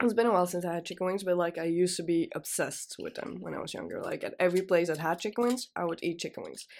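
A woman talks at a very fast pace. She hardly pauses at all. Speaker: student radio presenter. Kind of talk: casual chat. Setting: studio.

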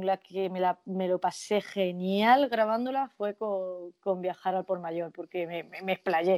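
A woman speaks at a medium pitch, very slowly. Her intonation stays fairly even, and the sound is dry and close with no echo. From Spain, Jaén (Andalusia). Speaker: nurse and singer. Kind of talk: casual interview.

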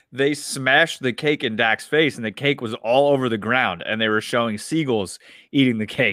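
With an ordinary speaking voice, a man of medium pitch talks at a fairly quick pace with ordinary pitch variation and hardly any pauses. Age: 30s. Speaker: sports podcast co-host. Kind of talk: casual chat.

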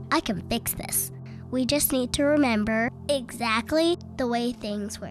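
With clear music in the background, a female-sounding put-on character voice speaks at a fairly high pitch and a moderate pace. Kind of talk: read-aloud picture book acting. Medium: read story. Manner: confident, matter-of-fact.

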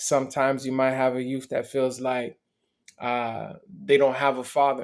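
Against a silent background, a man is heard on a very clean recording. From Miami, US (born in Montreal). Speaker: motivational speaker. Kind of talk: interview testimony.

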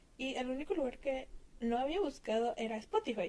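With a Mexican accent, a woman speaks at a fairly quick pace in a high pitch, using lively intonation and a dark, mellow tone. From Mexico. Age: 20s. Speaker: listener sending audio message. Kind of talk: recorded voice message.

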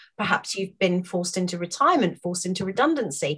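A woman with a British accent at a moderate pace, her pitch swinging very widely. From UK. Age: 40s. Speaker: wellness coach. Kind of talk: casual chat. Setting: office with dogs in background.

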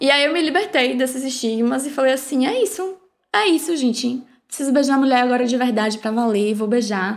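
In a very clean recording with a silent background, a woman talks fairly quickly at a high pitch with lively intonation. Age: 20s. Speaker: podcast host. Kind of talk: casual chat.

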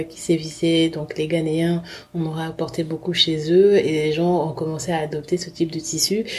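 A woman's voice shows big swings in loudness. Noticeable background noise runs under it. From Republic of the Congo, then France from about age 11. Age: 30s. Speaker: fashion brand founder. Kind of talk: interview testimony. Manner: hesitant, many fillers.

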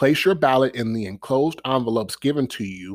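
With an American accent, a man in a plain, everyday voice talks at medium pitch and a moderate pace, on a very clean recording with a silent background and a dry, close sound with no echo. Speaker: podcast host. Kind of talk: scripted-style monologue podcast.

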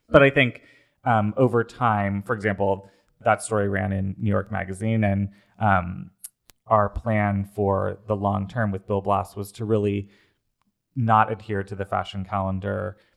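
This man has a normal speaking voice with a fairly low pitch. He talks at a fairly slow pace with fairly even intonation. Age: 30s. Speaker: fashion designer. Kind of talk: interview.

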